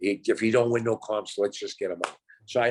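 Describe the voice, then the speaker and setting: A man talks in a normal speaking voice. His pitch sits at a medium level. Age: 60s. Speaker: reality TV contestant. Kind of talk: casual interview chat.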